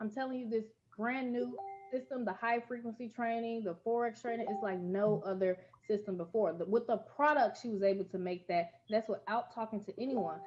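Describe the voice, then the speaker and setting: With music playing in the background, a woman talks fairly quickly in a fairly high pitch and an animated tone. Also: ordinary pitch variation. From US Midwest, Gary, Indiana. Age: 20s. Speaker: network marketing presenter. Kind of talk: sales pitch.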